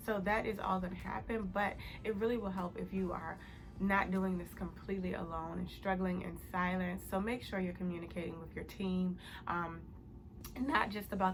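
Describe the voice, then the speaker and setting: A woman at medium pitch and a moderate pace, with fairly even intonation and audible room echo. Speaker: accounting youtuber. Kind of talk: casual advice vlog. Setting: home, early morning. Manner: whispering, soft.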